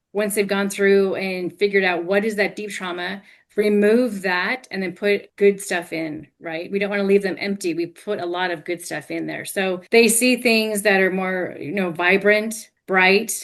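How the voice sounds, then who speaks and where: A plain, everyday voice at a moderate pace, with fairly even intonation and hardly any pauses. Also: woman, medium pitch for a woman, quiet background. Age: 50s. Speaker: hypnotherapist and life coach. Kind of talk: interview.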